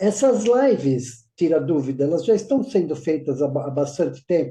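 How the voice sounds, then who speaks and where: Dark and mellow in tone, a man's voice moves through very wide pitch swings. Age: 70s. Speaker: course student, retired IT professional. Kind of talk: live Q&A session.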